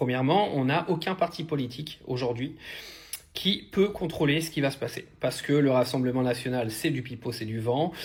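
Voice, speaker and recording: A man with a fairly high, somewhat breathy voice speaks at a moderate pace with ordinary pitch variation. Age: 30s. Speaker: online commentator. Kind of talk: video commentary. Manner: hesitant, many fillers.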